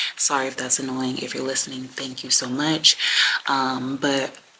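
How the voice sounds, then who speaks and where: Noticeable background noise runs beneath the voice. A woman whispers fairly slowly. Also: long, frequent pauses. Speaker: beauty and wellness vlogger. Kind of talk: casual chat. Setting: establishment where she can't be loud. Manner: slight whisper.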